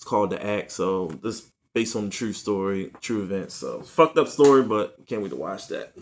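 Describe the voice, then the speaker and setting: A man speaks at a fairly quick pace with a medium pitch and ordinary pitch variation, on a very clean recording with a silent background. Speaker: YouTuber reviewing movie purchases. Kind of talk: casual unboxing haul video. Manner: fast.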